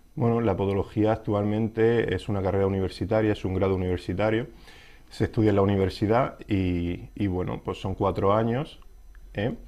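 Fairly low-pitched male voice with a dark, mellow tone, fairly even intonation and a moderate pace. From Spain. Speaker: podiatrist; interviewee. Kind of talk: interview. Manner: halting, many fillers. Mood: calm, explanatory. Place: studio. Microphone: lapel.

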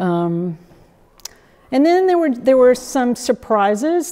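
With an American accent, a woman is talking. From South Carolina. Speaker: painter, sculptor and art teacher. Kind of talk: artist talk to an audience. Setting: gallery with live audience. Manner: halting, many fillers. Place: home room.

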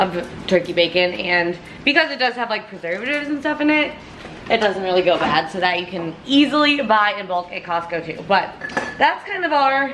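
Moderately paced speech from a woman, noticeable background noise underneath. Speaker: fitness vlogger. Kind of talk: casual vlog chat.

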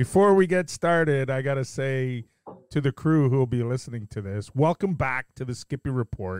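An unremarkable speaking voice from a man, medium in pitch, with lively intonation and a dry, close sound with no echo. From Canada. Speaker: podcast host. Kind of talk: casual chat. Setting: video call.

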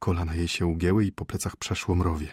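The sound is dry and close with no echo, in a very clean recording with a silent background. A man speaks in an animated, theatrical tone that is somewhat breathy. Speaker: audiobook narrator. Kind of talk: dramatic audiobook narration of a short story, reading aloud with character voices. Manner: measured, ironic storytelling pace with comic timing.

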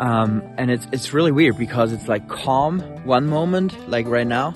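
A fairly slow pace, a dry sound with no echo, and clear music in the background. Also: man. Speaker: farmer vlogger. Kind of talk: casual vlog chat. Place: open country. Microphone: phone near.

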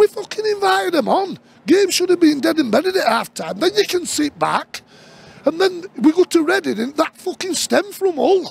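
A man with a South Yorkshire accent, extremely high in pitch, in an angry tone with very wide pitch swings, at a moderate pace, dry sound with no echo. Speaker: football fan vlogger. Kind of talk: angry rant; post-match fan reaction rant. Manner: angry, sweary, ranting; frustrated, halting. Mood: angry, frustrated ranting. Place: stadium.

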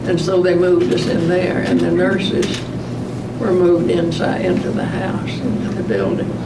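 A woman keeps a moderate pace while loud background noise surrounds her. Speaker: World War 2 nurse. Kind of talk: interview answer. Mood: calm, reflective. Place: meeting room.

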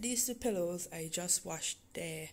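A woman with a fairly low, somewhat breathy voice talks at a fairly slow pace. There is light background noise. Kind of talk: casual vlog chat. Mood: relaxed, lightly humorous. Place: home room. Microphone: phone near.

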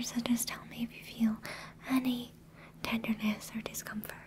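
Soft-spoken and soothing, a woman talks in a monotone, flat intonation over light background noise. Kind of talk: soft-spoken role-play to viewer. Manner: soft, close, soothing ASMR voice. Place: home room.

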